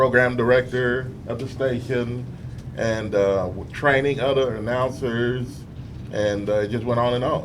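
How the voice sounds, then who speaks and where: In a room with audible echo, a man with an American accent talks at medium pitch and a fairly slow pace in a monotone, flat intonation. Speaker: radio talk show host. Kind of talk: interview. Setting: studio with audience. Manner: hesitant fillers.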